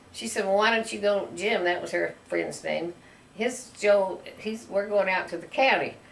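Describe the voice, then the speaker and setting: Talking at a moderate pace, a woman with an American accent has a medium pitch and ordinary pitch variation. The room echo is audible and background noise is noticeable. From US Midwest, rural northwest Missouri. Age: 80s+. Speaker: grandmother telling her life story. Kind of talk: casual family interview.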